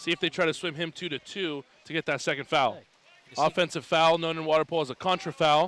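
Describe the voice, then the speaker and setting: The sound is dry and close with no echo as a man with a fairly high pitch talks at a very fast pace with fairly even intonation. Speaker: sports broadcast commentator (water polo play-by-play). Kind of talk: live sports broadcast commentary.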